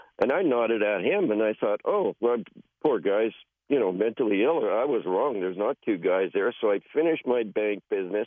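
A man talks fairly quickly in a normal speaking voice of medium pitch. His intonation is lively and his loudness stays very even. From British Columbia, Canada. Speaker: caller. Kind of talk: storytelling. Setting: phone call.

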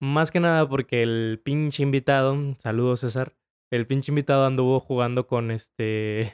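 A man talks in a normal speaking voice at medium pitch and a moderate pace. His intonation is fairly even, and the sound is dry and close with no echo. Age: 20s. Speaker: podcast host. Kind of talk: casual chat. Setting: recording post-episode note. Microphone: new microphone.

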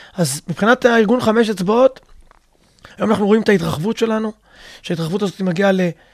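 Talking very fast yet with long, frequent pauses, a man speaks at a high pitch with ordinary pitch variation. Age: 50s. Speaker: physical education teacher and fitness coach. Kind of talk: interview.

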